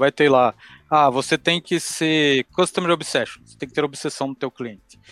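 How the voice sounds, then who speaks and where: A man speaks at a moderate pace in a fairly high pitch with fairly even intonation, though his loudness swings a lot. The sound is dry and close with no echo, and music plays in the background. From Brazil, Curitiba. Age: 30s. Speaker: cloud support engineer. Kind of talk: interview.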